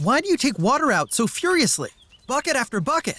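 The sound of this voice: A high, cartoonish character voice moves at a fairly quick pace. Its pitch swings very widely.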